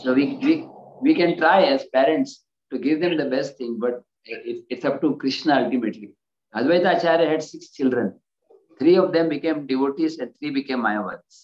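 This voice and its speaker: Audible room echo surrounds a man speaking at a moderate pace. His intonation is lively. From India. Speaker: spiritual teacher. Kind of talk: lecture. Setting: video call. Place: home room. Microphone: video call.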